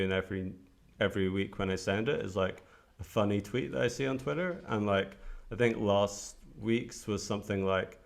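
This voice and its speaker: In a Scottish accent, a man talks at a moderate pace. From Scotland, Edinburgh. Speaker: entrepreneur, newsletter writer. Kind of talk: casual chat. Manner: hesitant, many fillers.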